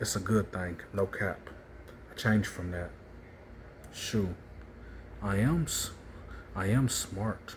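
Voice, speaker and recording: A somewhat breathy man's voice, fairly low in pitch, with lively intonation, a very slow pace and long, frequent pauses. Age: 20s. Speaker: vlogger. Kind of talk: personal monologue vlog.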